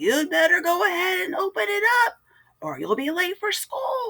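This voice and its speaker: Using a put-on character voice, a woman squeaks at an extremely high pitch with very wide pitch swings. She keeps a moderate pace, and the sound is dry and close with no echo. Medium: read story. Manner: warm, kindly.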